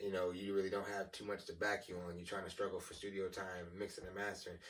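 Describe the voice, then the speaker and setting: Very fast, monotone, flat speech from a man with a fairly low pitch. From Tennessee. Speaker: musician and studio engineer. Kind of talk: casual chat. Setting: podcast studio. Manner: halting.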